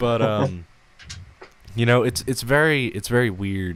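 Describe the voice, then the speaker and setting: At a moderate pace, a man speaks with an American accent and fairly even intonation. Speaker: podcast host. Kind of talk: casual chat. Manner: hesitant, many fillers.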